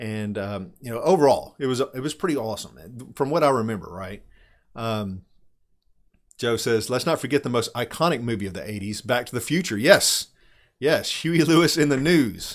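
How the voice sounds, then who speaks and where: Against a quiet background, a man speaks at a moderate pace with lively intonation and big swings in loudness. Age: 40s. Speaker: tabletop RPG streamer reviewing game books. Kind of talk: casual live stream talk with chat. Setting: live stream from home. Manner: casual, with many fillers and restarts. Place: home room. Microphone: studio mic.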